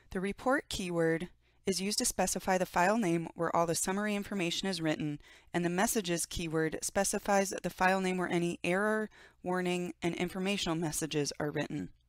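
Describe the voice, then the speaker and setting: An unremarkable speaking voice at a fairly quick pace with ordinary pitch variation, on a very clean recording with a silent background. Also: woman, medium pitch for a woman. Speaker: software trainer. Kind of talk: tutorial.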